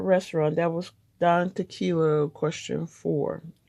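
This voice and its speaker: Relaxed in tone, a woman speaks at a fairly low pitch, her voice dark and mellow. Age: 60s. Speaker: diamond art hobbyist vlogger. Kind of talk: casual chat. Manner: relaxed, rambling with fillers.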